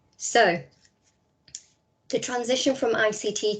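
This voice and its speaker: A woman speaks in a Liverpool accent. Her intonation is monotone and flat. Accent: Scouse. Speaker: teacher trainer. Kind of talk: webinar presentation.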